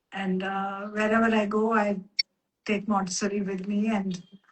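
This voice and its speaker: Somewhat breathy, medium-pitched female voice, monotone and flat in intonation, at a fairly slow pace. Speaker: Montessori educator. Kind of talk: casual chat. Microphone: audio too quiet.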